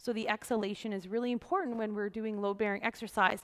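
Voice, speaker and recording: With an animated tone and fairly high pitch, a woman speaks against a quiet background. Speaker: yoga teacher. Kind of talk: tutorial. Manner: fast. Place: empty room.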